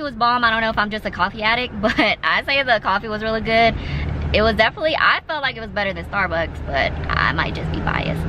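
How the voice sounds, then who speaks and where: A woman at a fairly quick pace, with ordinary pitch variation, a dry sound with no echo, and noticeable background noise. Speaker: vlogger. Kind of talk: casual vlog chat. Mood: relaxed, chatty. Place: car. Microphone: phone near.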